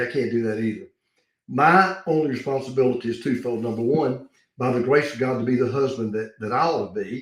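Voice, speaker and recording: Somewhat breathy, a man speaks at a fairly quick pace and a medium pitch. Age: 70s. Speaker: pastor. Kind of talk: interview answer, preacher style.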